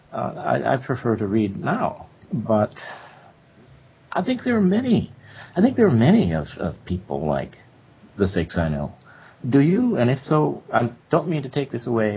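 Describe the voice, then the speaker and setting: With vocal fry and very wide pitch swings, a man talks at a moderate pace broken by long, frequent pauses. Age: 70s. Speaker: professor. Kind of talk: interview discussion. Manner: halting.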